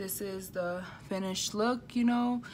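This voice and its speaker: Noticeable background noise sits under a woman's voice, which has ordinary pitch variation. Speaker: beauty vlogger. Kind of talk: makeup tutorial. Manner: animated.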